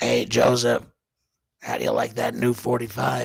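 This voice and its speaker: A raspy, robotic put-on character voice talks at a moderate pace. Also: man. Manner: halting, mechanical.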